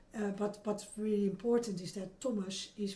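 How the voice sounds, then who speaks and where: With a Dutch accent, a woman talks in a dark, mellow, somewhat breathy tone and fairly even intonation, with audible room echo around her. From Netherlands. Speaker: oral history interviewee. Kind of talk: interview. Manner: halting, many repeated words.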